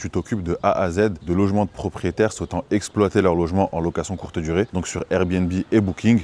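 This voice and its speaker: At a moderate pace, a man talks with fairly even intonation in an unremarkable speaking voice. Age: 20s. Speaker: short-term rental manager. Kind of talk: vlog tour and business pitch. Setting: walking indoors, apartment residence. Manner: casual.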